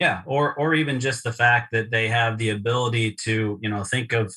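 This man has an American accent and a medium pitch. His tone is bright and sharp, on a very clean recording with a silent background. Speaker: podcast host. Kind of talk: casual interview.

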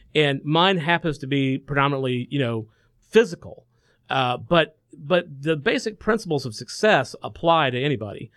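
A man with a fairly high voice talks in a Southern US accent, his intonation lively. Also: moderate pace. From Macon, Georgia. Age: 30s. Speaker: musician and studio owner. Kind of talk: interview. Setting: studio.

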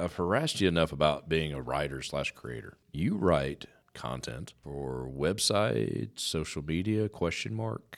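Lively intonation runs at a fairly slow pace with hardly any pauses in a very clean recording with a silent background. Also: man, very deep, low pitch for a man. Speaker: business radio host. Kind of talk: radio interview. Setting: studio. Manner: over-enunciates.

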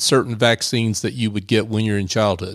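A man with an ordinary speaking voice talks at a medium pitch. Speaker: producer and co-host. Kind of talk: casual banter and interview questions. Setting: remote studio at a bank, video call.

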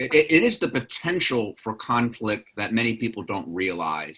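This man has a plain, everyday voice at a medium pitch. He talks at a fairly slow pace. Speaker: radio host, lawyer. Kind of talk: radio interview discussion. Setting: remote interview.

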